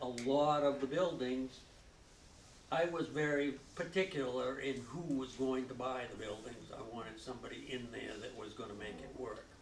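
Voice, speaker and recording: At a moderate pace, a man talks with big swings in loudness, with audible room echo and noticeable background noise. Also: medium pitch for a man, ordinary pitch variation. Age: 80s+. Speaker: local business owner. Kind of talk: public interview before audience. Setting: library event with audience.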